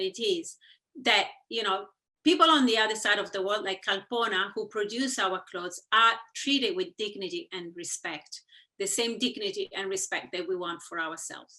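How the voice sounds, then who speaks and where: A woman speaks loudly in a fairly high, bright, sharp voice. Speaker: fashion campaigner and company founder. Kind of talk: panel discussion. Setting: video call webinar.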